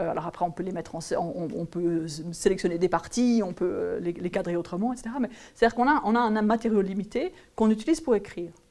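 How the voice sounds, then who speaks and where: This woman's voice has a dark, mellow tone, a medium pitch and lively intonation. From French-speaking region. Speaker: geography professor. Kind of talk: interview. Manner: halting, many repetitions and fillers.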